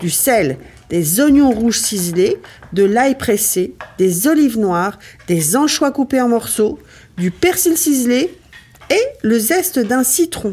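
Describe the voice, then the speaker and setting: Noticeable background noise sits behind a woman's fairly high voice. Her pitch swings very widely. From Ardennes, north-east France. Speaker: cooking show host. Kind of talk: recipe tutorial. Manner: casual, chatty.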